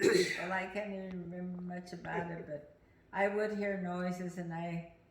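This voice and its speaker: Over noticeable background noise and audible room echo, a woman speaks at medium pitch and a moderate pace with monotone, flat intonation. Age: 80s+. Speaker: family elder sharing memories. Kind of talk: family reminiscing interview. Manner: halting, hesitant.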